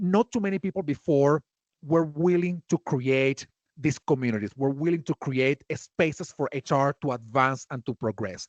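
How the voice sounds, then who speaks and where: In a dry, close sound with no echo, a man speaks at a moderate pace, his fairly high pitch showing ordinary variation. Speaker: HR community builder and influencer. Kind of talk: podcast interview. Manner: animated.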